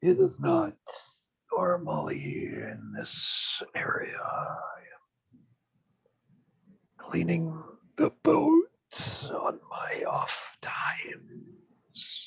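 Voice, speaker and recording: A man's raspy, whispered put-on character voice, very slow, with long, frequent pauses. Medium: actual play. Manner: formal, stiff, halting.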